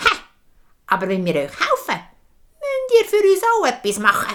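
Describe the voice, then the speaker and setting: A put-on character voice carries the lines at a moderate pace. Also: woman, extremely high pitch for a woman. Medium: read story. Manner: snippy, arrogant.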